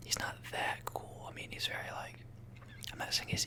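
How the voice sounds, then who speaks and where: A man whispering in a relaxed tone over noticeable background noise. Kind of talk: ASMR whispered talk to camera about a game tier list. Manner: soft-spoken, whispering, relaxed.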